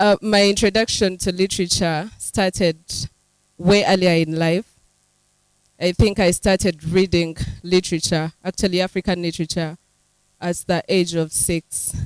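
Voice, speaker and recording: A woman at a moderate pace with monotone, flat intonation and long, frequent pauses, on a very clean recording with a silent background and a dry, close sound with no echo. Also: medium pitch for a woman. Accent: Ugandan. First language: Runyankole. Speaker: writer. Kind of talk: panel discussion.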